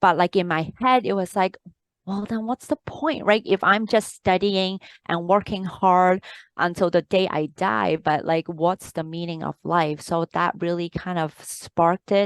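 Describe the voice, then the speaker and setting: Over a quiet background, with dry, close sound and no echo, a woman speaks fairly slowly at a fairly low pitch with ordinary pitch variation. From Hong Kong, moved to Canada at 10. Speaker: author and life coach. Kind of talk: interview. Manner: hesitant, many fillers.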